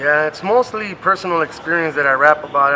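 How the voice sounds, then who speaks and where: A man with an American accent at a moderate pace, ordinary pitch variation and noticeable background noise. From Compton, Los Angeles. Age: 30s. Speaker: rapper. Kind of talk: interview. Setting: sit-down interview. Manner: casual.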